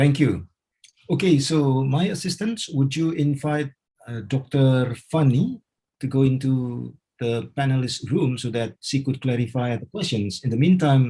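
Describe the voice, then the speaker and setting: A man's somewhat breathy, dark and mellow voice at a medium pitch and a fairly slow pace. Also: ordinary pitch variation. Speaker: webinar host, surgeon. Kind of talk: webinar moderation. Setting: video call webinar.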